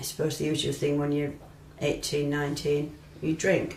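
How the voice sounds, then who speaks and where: Audible room echo surrounds a woman speaking with a very deep, low pitch. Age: 60s. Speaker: retired midwife. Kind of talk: interview testimony. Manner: hesitant, with many ums and restarts.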